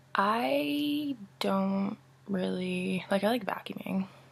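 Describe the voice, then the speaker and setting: A woman is whispering. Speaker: college student. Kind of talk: casual talk to camera. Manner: whispered.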